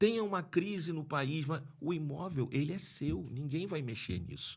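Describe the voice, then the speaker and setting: Vocal fry runs through speech at a moderate pace on a very clean recording with a silent background. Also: man. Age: 60s. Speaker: lawyer and property investor. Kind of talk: podcast interview. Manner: halting, many restarts.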